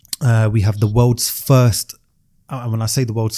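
The recording is very clean, with a silent background. A man with a dark, mellow, somewhat breathy tone talks at a moderate pace. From South London. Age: 20s. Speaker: entrepreneur and private pilot. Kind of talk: casual chat.

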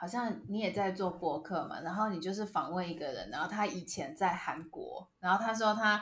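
A somewhat breathy woman's voice, medium in pitch, at a fairly quick pace. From Taiwan. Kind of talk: casual chat. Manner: animated.

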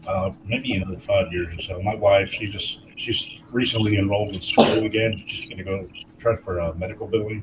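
This man talks at a moderate pace with a fairly low pitch. His intonation stays flat and monotone over noticeable background noise. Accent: American. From Texas. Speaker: podcast co-host. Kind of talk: casual chat.

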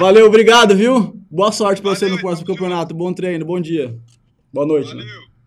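A man talks at a very fast pace with a high pitch. His loudness swings widely. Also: ordinary pitch variation. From Brazil, Mato Grosso do Sul (Itaquiraí). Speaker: podcast host, journalist. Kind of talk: casual interview. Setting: studio, live videocast.

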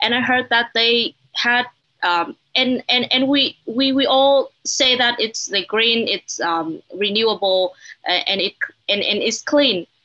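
A woman speaks at a very slow pace in a high, bright, sharp voice with a Vietnamese accent and lively intonation. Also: very even loudness. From Vietnam, Hanoi. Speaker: journalist. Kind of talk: panel discussion. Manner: halting.

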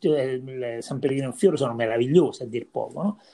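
A man's dark, mellow tone at a medium pitch and moderate pace. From Viterbo area, central Italy. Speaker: podcast host. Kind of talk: casual interview.

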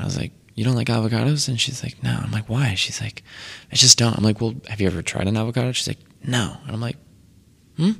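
Talking very fast yet with long, frequent pauses, a man with an American accent has a medium pitch, ordinary pitch variation and vocal fry. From Connecticut, Waterbury. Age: 20s. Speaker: vegan chef. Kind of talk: casual chat.

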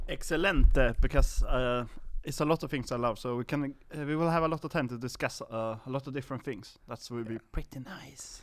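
On a very clean recording with a silent background, a man of medium pitch speaks at a fairly quick pace with a Swedish accent, ordinary pitch variation and big swings in loudness. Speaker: podcast co-host. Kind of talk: casual chat. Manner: halting.

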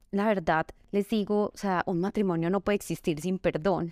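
This woman has a plain, everyday voice at medium pitch, speaking at a moderate pace with fairly even intonation. The sound is dry and close with no echo, a very clean recording over a silent background. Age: 30s. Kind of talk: faith-based testimony and advice in interview.

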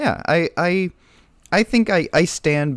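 Delivered at a very slow pace with ordinary pitch variation, this voice comes through in a very clean recording against a silent background. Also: man. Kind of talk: casual chat.

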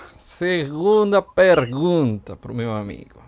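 A man's pitch swings very widely as he talks at a very slow pace. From outside Brazil. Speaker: radio host. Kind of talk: radio show.

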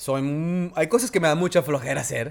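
On a very clean recording with a silent background, a man speaks in a Mexican accent with ordinary pitch variation. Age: 40s. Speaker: podcast co-host, television presenter. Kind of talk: casual chat.

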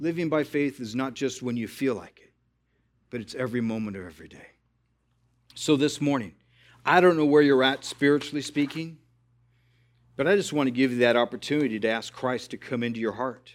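A plain, everyday voice talks at a fairly quick pace with ordinary pitch variation and big swings in loudness. The recording is very clean, with a silent background. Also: man, medium pitch for a man. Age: 50s. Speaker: pastor. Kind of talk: sermon.

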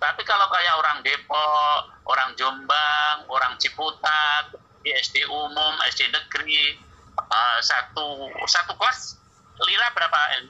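Very even in loudness, a man talks at a very slow pace with a fairly high pitch and ordinary pitch variation. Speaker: Islamic cleric and educator. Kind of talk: casual chat.

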